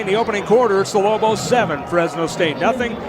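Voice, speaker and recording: Noticeable background noise sits behind a man whose high pitch moves with ordinary variation. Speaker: radio sports play-by-play announcer. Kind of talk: live radio sports play-by-play commentary.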